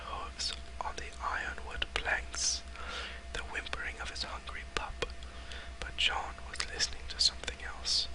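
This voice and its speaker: A whisper in a gentle tone at a fairly slow pace, over noticeable background noise. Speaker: ASMR creator reading a novel aloud. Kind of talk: whispered audiobook reading. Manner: whispering; soft, gentle, slow.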